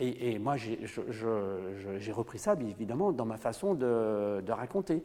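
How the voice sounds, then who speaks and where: At a very slow pace, a man speaks in a dark, mellow tone at medium pitch with ordinary pitch variation. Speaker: storyteller in Gallo, oral tradition storyteller. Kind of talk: interview answer. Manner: conversational, hesitant, with fillers.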